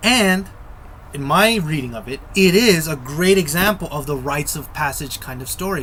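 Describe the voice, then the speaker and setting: Amid audible room echo and noticeable background noise, a man speaks with a fairly high pitch. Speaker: screenwriting video essayist. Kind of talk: lecture. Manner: slow; repetitive, halting.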